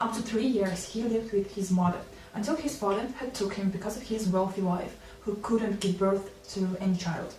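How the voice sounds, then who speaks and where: A woman with a non-native accent speaks at a moderate pace, her medium pitch and fairly even intonation set against music in the background. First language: not English.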